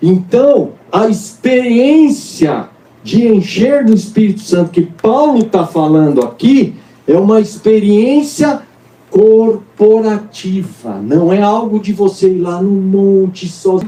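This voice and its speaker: A man talks at a very slow pace with a high pitch. His intonation is lively. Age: 60s. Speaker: pastor. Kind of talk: sermon. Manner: animated.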